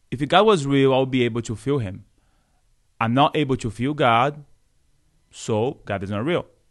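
A man at medium pitch with a Brazilian Portuguese accent, a moderate pace, ordinary pitch variation and long, frequent pauses against a quiet background. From Brazil, Salvador (Bahia). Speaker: Franciscan friar. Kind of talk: podcast interview. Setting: studio.

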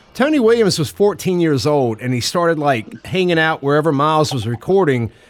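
Noticeable background noise accompanies a man's voice. He speaks at a fairly high pitch with lively intonation. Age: 40s. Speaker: podcast co-host. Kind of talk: casual chat.

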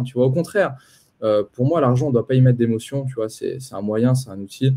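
This is a man at a medium pitch. His tone is dark and mellow. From France, Poitiers. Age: 20s. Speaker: entrepreneur and investment coach. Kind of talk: live-stream interview.

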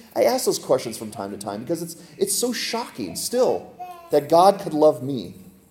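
Music plays in the background. A man is talking. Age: 40s. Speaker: pastor. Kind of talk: sermon.

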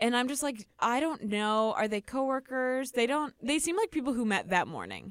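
In a Chicago accent, a high-pitched woman talks at a moderate pace with ordinary pitch variation and hardly any pauses, in a dry, close sound with no echo. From US Midwest, Chicago. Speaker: podcast co-host. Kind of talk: casual chat.

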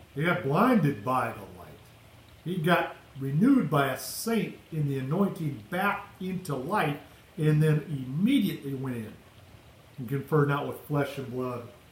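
Amid noticeable background noise, a man with a fairly high pitch talks at a fairly slow pace, his intonation lively and his loudness swinging widely. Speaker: preacher. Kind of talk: fiery sermon, mixing scripture quotes with exhortation and declarations of faith. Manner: impassioned, declamatory, urgent.

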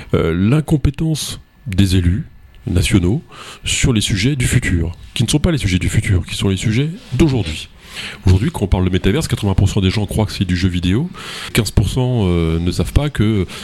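Speaking fairly slowly with long, frequent pauses, a man uses lively intonation in a fairly low voice. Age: 50s. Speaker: radio host. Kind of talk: radio political debate moderation.

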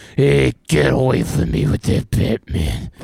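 A man's raspy, put-on character voice, very deep and low, with lively intonation, a fairly slow pace and a dry, close sound with no echo. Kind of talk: gruff. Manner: gruff, blustering.

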